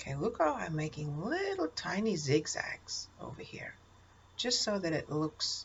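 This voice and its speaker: A woman speaks at a very deep, low pitch, somewhat breathy. Her intonation is lively and her pace moderate. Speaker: art teacher. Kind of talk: tutorial. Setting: recorded video. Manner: encouraging, addressing kids.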